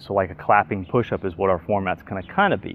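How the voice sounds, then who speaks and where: A man with a fairly low pitch and ordinary pitch variation talks at a very fast pace, the sound dry with no echo. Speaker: fitness instructor. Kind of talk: workout tutorial. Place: garden.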